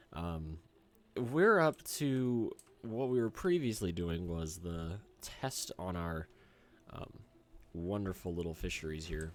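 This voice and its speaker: Over music in the background, a man with an American accent and a very deep, low voice speaks at a very slow pace with lively intonation and long, frequent pauses. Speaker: gaming YouTuber. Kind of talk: gameplay commentary. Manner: hesitant, many fillers.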